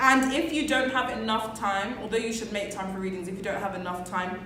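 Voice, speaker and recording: Over noticeable background noise, a woman talks at a fairly quick pace with hardly any pauses, her medium-pitched voice showing ordinary pitch variation. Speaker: university student vlogger. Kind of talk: casual chat. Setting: group conversation with course mates.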